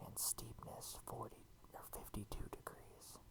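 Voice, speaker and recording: Someone is whispering at a very slow pace. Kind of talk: ASMR game walkthrough. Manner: whispered.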